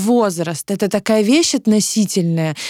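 A dark, mellow tone carries ordinary pitch variation at a moderate pace. The sound is dry and close with no echo, a very clean recording over a silent background. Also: woman. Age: 30s. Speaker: podcast co-host. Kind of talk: casual chat.

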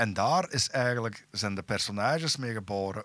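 On a very clean recording with a silent background, a man speaks at a fairly slow pace in a bright, sharp tone with a dry, close sound and no echo. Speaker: metal musician. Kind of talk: casual chat.

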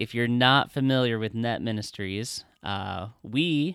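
Over a silent background in a very clean recording, an unremarkable speaking voice shows ordinary pitch variation. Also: man. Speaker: podcast co-host, ministry worker. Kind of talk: podcast introduction.

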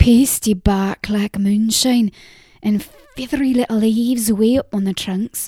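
The speaker reads in a natural reading voice.

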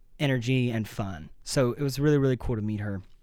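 A man has an unremarkable speaking voice at a medium pitch, with ordinary pitch variation. He keeps a moderate pace, and the recording is very clean with a silent background. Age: 20s. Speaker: podcast host. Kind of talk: casual chat.

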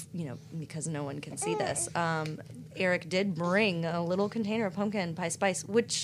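A woman has an unremarkable speaking voice with an American accent. Her pitch sits fairly low, with ordinary pitch variation. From US South, North Carolina. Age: 30s. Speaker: podcast guest, neighbor of hosts. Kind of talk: casual chat.

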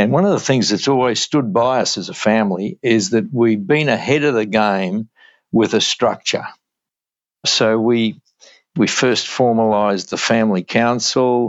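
This man speaks with an Australian accent. His pitch sits in the medium range. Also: ordinary pitch variation, moderate pace. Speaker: entrepreneur. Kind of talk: interview.

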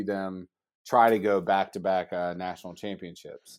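Speaking with a normal speaking voice and an American accent, a man keeps a fairly low pitch and fairly even intonation. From Georgia, US South. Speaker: college sports information director. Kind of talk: casual interview.

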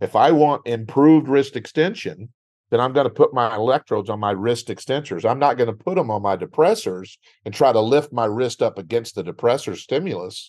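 Against a quiet background, a man with a Texan accent and medium pitch talks at a fairly quick pace with lively intonation. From West Texas. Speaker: speech-language pathologist. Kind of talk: educational interview. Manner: conversational.

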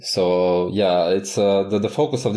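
A man's dark, mellow voice with a Croatian accent over a quiet background. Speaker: Elixir mentor and author. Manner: halting, frequent fillers.

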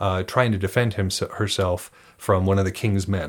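A man's normal speaking voice, fairly low in pitch, at a moderate pace, on a very clean recording with a silent background. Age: 30s. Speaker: podcast host discussing wargaming and sagas. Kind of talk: casual monologue and interview.

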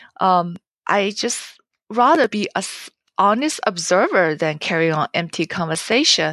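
Over a quiet background, a woman with a medium pitch speaks at a fairly slow pace with lively intonation, the sound dry and close with no echo. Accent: Chinese. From China, Jiangsu province. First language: Chinese. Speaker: novelist. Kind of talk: interview.

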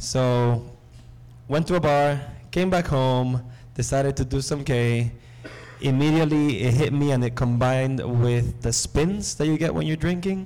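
Amid audible room echo, a man at medium pitch talks at a moderate pace with ordinary pitch variation, very even loudness and long, frequent pauses. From Nicaragua. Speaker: breathwork facilitator and community organizer. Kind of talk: live panel discussion, personal stories. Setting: seminar stage with audience.

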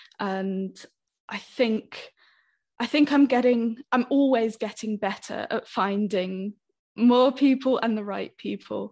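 Speaking at a fairly slow pace, a woman has a fairly high pitch and a British accent. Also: quiet background. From Britain. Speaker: language teacher. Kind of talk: podcast interview.

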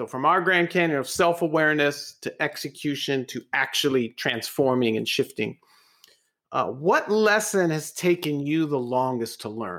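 In a very clean recording with a silent background, a man speaks at a moderate pace. His fairly high voice has lively intonation. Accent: Californian. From California. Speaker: podcast co-host. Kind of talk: casual interview chat.

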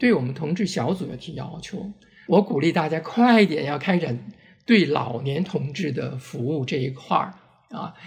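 With a fairly high pitch, this man has a plain, everyday voice. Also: lively intonation, moderate pace. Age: 60s. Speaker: LGBT community volunteer and oral history project organizer. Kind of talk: casual interview conversation.

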